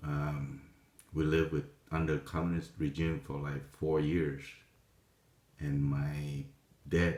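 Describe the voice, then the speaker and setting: This man has a very deep, low pitch and a Vietnamese accent. He speaks at a moderate pace. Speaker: vlogger telling life story. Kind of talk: personal testimony. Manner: halting, many fillers.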